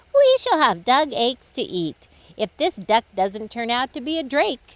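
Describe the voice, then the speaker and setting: This put-on character voice sits at a fairly high pitch and swings very widely in pitch. The pace is moderate. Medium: read story.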